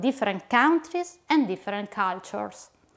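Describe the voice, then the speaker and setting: In an Italian accent, a woman speaks at a fairly slow pace with lively intonation. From Italy. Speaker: educator / instructional designer. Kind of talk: lecture. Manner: formal.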